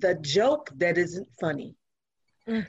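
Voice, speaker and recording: A somewhat breathy woman, fairly slow, with lively intonation. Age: 60s. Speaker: domestic violence survivor. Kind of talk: casual chat.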